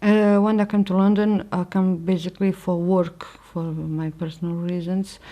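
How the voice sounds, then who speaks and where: The voice has a Portuguese accent, a dark, mellow tone and monotone, flat intonation, moving at a moderate pace. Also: woman. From Portugal. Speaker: religious convert sharing her story. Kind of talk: testimony. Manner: halting, with frequent fillers and restarts.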